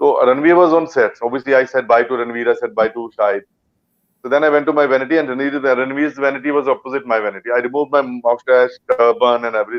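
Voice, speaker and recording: A man's medium-pitched voice at a very fast pace, with a Punjabi accent and ordinary pitch variation. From India, Punjab. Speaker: actor. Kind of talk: interview. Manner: halting.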